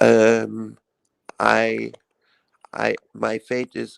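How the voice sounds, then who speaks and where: A man with a non-native accent, dry and close-miked with no echo. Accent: foreign. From Iran. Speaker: live stream guest, YouTuber. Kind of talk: casual chat. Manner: halting.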